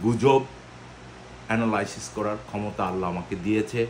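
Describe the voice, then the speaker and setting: This man's voice sits at a medium pitch with ordinary pitch variation. Light background noise can be heard. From Bangladesh. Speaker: diaspora commentator, former army officer; diaspora commentator. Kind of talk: video monologue. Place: home room.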